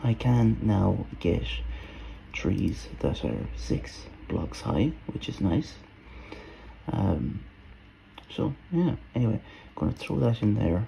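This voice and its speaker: A man's very deep, low voice with very wide pitch swings, a very slow pace and long, frequent pauses amid noticeable background noise. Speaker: gaming video creator. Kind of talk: let's play commentary. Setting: at home. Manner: quiet, soft-spoken; hesitant, many fillers.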